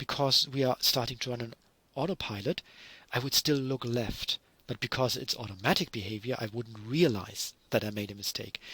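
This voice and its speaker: In a German accent, a man speaks at medium pitch with a bright, sharp tone, recorded very cleanly, dry and close with no echo against a silent background. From Germany. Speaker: university lecturer. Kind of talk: lecture.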